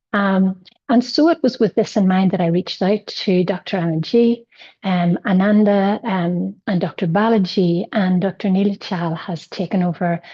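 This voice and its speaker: Somewhat breathy, this woman's voice carries a dark, mellow tone. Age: 60s. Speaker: yoga student sharing a patient experience. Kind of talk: personal testimony in an online session. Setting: online session. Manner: halting, with many fillers.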